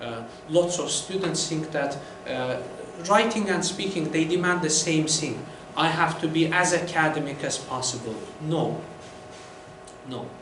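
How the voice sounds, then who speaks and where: Fairly slow speech with long, frequent pauses against noticeable background noise. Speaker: IELTS trainer. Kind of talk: lecture.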